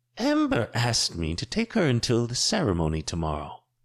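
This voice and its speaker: A man's put-on character voice at medium pitch against a quiet background. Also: fairly quick pace. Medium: read story. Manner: cool, unyielding.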